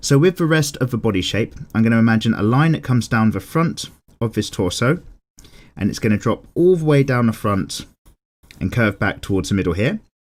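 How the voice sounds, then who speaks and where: With a plain, everyday voice, a man speaks at a fairly quick pace, at medium pitch and with lively intonation, in a very clean recording over a silent background. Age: 30s. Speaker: drawing tutor. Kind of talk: tutorial.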